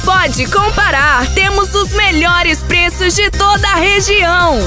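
A raised, projected voice moves at a very slow pace. The sound is dry with no echo, and music plays clearly in the background. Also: woman. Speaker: voice-over announcer. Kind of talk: radio commercial read. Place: studio. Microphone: studio mic.

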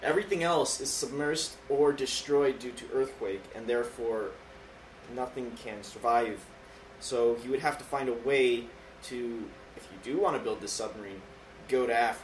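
A man talks at a moderate pace in a medium pitch with ordinary pitch variation and big swings in loudness. Noticeable background noise is audible. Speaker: gaming podcast host and let's play creator. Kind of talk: casual chat. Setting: studio.

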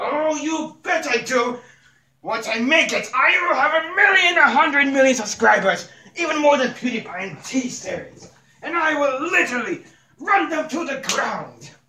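In a put-on character voice, a man speaks with an extremely high pitch, a pompous tone and a fairly slow pace. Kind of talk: comic overacting. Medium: comedy sketch. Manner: pompous, boastful.

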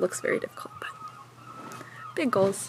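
Light background noise accompanies a woman as she talks. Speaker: climbing vlogger. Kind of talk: casual vlog chat. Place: open country. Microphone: phone near.

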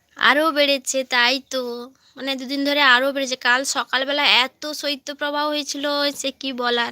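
A woman uses a raised, projected voice with a high pitch and a bright, sharp tone. The sound is dry and close with no echo, on a very clean recording with a silent background. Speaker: live-stream vlogger. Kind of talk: casual chat. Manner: animated.

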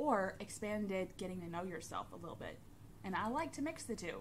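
Against light background noise, a woman speaks at a moderate pace. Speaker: tarot hobbyist vlogger. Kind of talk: casual vlog chat. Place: home room. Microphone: phone near.

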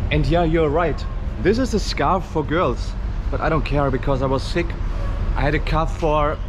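A man with a German accent speaks at a fairly quick pace amid noticeable background noise. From Germany. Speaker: travel vlogger. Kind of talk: travel vlog. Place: street. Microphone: phone near.

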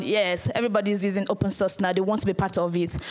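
A woman with a Nigerian accent and ordinary pitch variation, in a quiet background. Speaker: community manager and conference speaker. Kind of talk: conference talk. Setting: stage with audience. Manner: fast. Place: hall.

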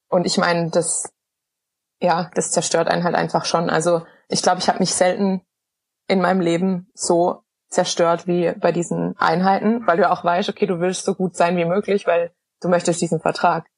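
A woman with fairly low pitch, very even loudness and monotone, flat intonation. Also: moderate pace. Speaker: professional cyclist. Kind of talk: podcast interview answer.

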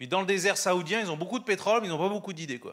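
Against a quiet background, a man projects a raised, high-pitched voice with a bright, sharp tone and very wide pitch swings. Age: 50s. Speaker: entrepreneur and guest speaker; guest. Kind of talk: sermon. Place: church. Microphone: handheld.

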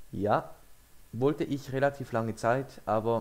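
A man talks with a French accent. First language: French (speaking German). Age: young. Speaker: YouTuber. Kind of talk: casual reaction video commentary.

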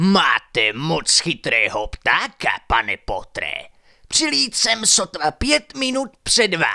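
A man puts on a character voice. His pitch is high.

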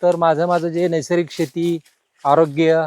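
A man's high voice comes across dry and close, without any echo. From Maharashtra, Solapur district (Pandharpur). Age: 50s. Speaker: farmer. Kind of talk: interview.

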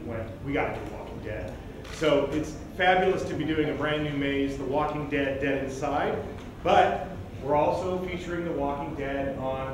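Noticeable background noise and audible room echo accompany a man whose intonation is fairly even. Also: moderate pace. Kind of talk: presentation to press. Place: hall.

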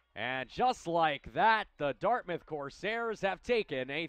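Animated and excited, a man's voice makes very wide pitch swings in a dry, close sound with no echo. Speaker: sports broadcaster. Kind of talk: live sports play-by-play commentary. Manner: animated, excited, punchy calls that rise to a shout on goals and dunks.

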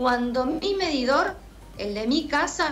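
Faint music plays in the background as a woman speaks in a high pitch with ordinary pitch variation.

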